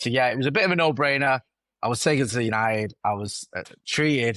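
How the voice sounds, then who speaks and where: Talking at a very fast pace, a man in a Mancunian accent shows ordinary pitch variation. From Manchester (Stretford), northern England. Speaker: football content creator. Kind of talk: interview. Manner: casual, with repeated fillers and restarts.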